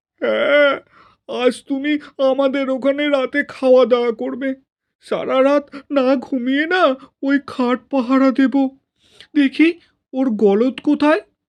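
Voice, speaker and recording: A put-on character voice that sounds female speaks high and at a fairly slow pace. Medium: read story. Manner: emotional, insistent.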